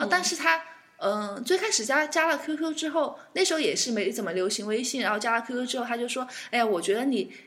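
Amid noticeable background noise, a woman talks very fast in a high voice with very wide pitch swings. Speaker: aviation worker, guest co-host. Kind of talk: casual chat.

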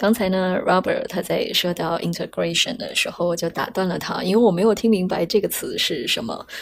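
A woman talks at a fairly quick pace. She leaves hardly any pauses over noticeable background noise. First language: Mandarin Chinese. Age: 30s. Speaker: podcast host. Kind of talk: scripted narration.

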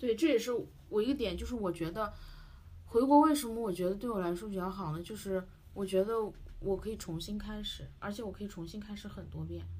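With an unremarkable speaking voice, a woman speaks at a fairly quick pace in a medium pitch, her loudness swinging widely. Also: ordinary pitch variation. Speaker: podcast host. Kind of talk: casual chat.

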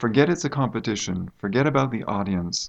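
Using a normal speaking voice with an American accent, a man talks at a moderate pace and medium pitch with lively intonation. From United States. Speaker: university English teacher. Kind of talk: interview. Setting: studio.

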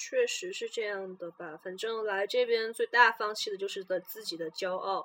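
A woman speaks with a plain, everyday voice. Her pitch is fairly high and her intonation lively. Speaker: podcast co-host, international student. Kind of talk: casual chat.

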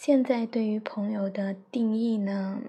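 A woman's fairly high-pitched voice carries fairly even intonation. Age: 20s. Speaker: podcaster, teacher. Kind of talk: personal monologue. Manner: halting, many fillers. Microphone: phone mic.

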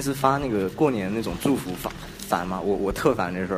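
Over noticeable background noise and audible room echo, a man talks at a moderate pace. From Hangzhou, southern China. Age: 20s. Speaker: podcast co-host, design graduate student. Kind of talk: casual chat. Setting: university classroom.

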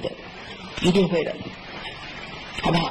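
Noticeable background noise runs beneath a woman's voice. The room echo is audible. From Beijing. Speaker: direct sales distributor and speaker. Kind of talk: motivational seminar talk. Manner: animated.

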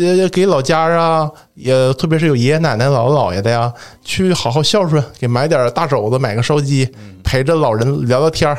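An unremarkable speaking voice from a man, fairly high in pitch, at a moderate pace, with ordinary pitch variation and very even loudness. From Northeast China. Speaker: religious studies PhD student. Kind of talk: casual chat.

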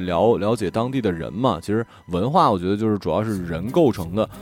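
This man's voice is fairly low. He speaks at a fairly quick pace. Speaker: radio podcast host. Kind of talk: casual chat. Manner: broadcaster-style delivery.

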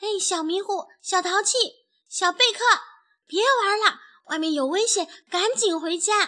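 Putting on a character voice, a woman speaks at a fairly slow pace with an extremely high pitch, ordinary pitch variation, and a bright, sharp tone.

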